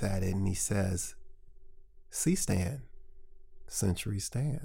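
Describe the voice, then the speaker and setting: A man speaks with an American accent at a fairly low pitch. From St. Louis, Missouri (North County). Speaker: documentary filmmaker. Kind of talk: casual interview chat. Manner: halting, many repeated words.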